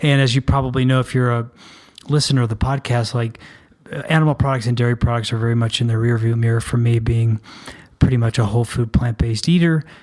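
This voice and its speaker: Over noticeable background noise, a man with an American accent and medium pitch talks at a very fast pace with fairly even intonation. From US South. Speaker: podcast co-host. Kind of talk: casual podcast intro chat.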